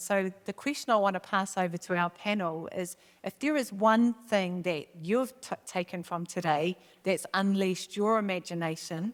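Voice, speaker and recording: A woman in a New Zealand accent, moderate pace, ordinary pitch variation. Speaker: panel facilitator. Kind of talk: panel moderation. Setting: stage with audience.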